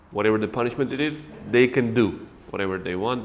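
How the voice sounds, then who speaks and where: This man talks at a fairly quick pace with an Uzbek accent. His pitch is medium, with ordinary variation. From Uzbekistan, Khwarezm. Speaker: English teacher and interviewer. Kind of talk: interview before a class audience.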